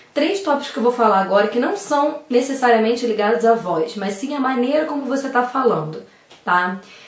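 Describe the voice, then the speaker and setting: A woman talks at a fairly quick pace in a high voice with very wide pitch swings, with audible room echo and noticeable background noise. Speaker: speech therapist giving public speaking tips. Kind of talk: tutorial. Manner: fast.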